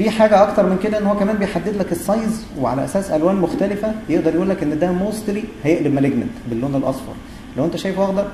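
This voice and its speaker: A man's very fast, lively-intoned speech amid noticeable background noise and audible room echo. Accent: Egyptian. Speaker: gastroenterologist, university lecturer. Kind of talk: lecture.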